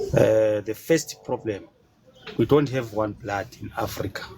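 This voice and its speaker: Noticeable background noise sits behind a man speaking at a fairly slow pace. His pitch is medium and his intonation fairly even. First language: not English. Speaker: caller. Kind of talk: casual chat. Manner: halting.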